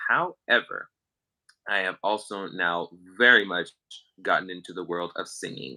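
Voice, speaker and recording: A man speaks at a moderate pace, leaving long, frequent pauses. His loudness swings widely. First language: Spanish. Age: young. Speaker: musician. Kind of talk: casual chat.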